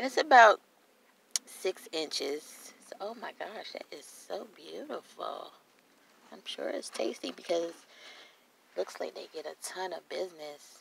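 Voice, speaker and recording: Over light background noise in a dry, echo-free recording, a woman talks at a fairly slow pace with big swings in loudness. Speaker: food vlogger. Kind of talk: casual vlog chat. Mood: delighted, enthusiastic. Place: car. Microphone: phone near.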